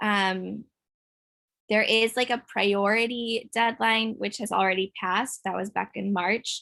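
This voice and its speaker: Speaking at a fairly slow pace, a woman uses a fairly high pitch and a bright, sharp tone with monotone, flat intonation. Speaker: financial aid counselor. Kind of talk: online workshop presentation with Q&A. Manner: frequent fillers (um).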